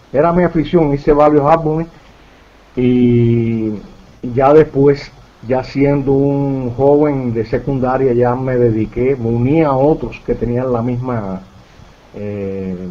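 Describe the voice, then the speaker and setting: A man's medium-pitched voice at a very slow pace, with ordinary pitch variation and noticeable background noise. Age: 60s. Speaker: UFO researcher. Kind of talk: interview. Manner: halting.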